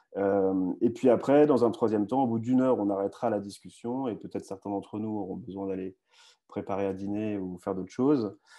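Over a quiet background, a man talks at a fairly quick pace in a fairly low voice with fairly even intonation. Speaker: online news host. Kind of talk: live video discussion. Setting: video call. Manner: halting, many repetitions. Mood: friendly, relaxed. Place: home room. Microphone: earbuds.

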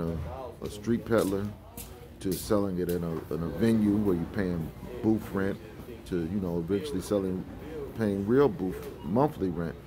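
Over clear music in the background, a man with a very deep, low pitch speaks at a moderate pace. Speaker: fragrance oil seller. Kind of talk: casual vlog chat. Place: shop. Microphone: phone near.

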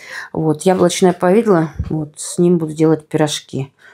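Against a quiet background, a woman speaks with a fairly low pitch. Her tone is dark and mellow. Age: 50s. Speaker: lifestyle vlogger. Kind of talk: casual vlog talk. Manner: animated. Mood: relaxed, friendly. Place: home room. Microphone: phone near.

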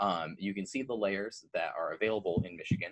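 Against a quiet background, the speech moves at a fairly quick pace. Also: man. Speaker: presenter. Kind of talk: educational presentation. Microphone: webcam.

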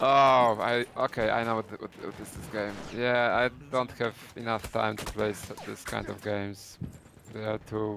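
Over noticeable background noise, a man at medium pitch speaks fairly slowly in a monotone, flat intonation, with long, frequent pauses. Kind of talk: casual chat.

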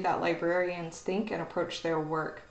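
Speaking with an American accent, a woman keeps a moderate pace. Audible room echo surrounds her voice. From Oklahoma. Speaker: university librarian. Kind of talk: educational video talk. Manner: casual, hesitant with fillers. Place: office. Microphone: webcam.

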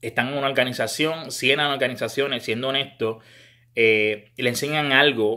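A man's bright, sharp tone with fairly even intonation. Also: quiet background. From Puerto Rico. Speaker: baseball scouting commentator. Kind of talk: monologue to camera. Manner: halting, frequent repetitions. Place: home room. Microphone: phone near.

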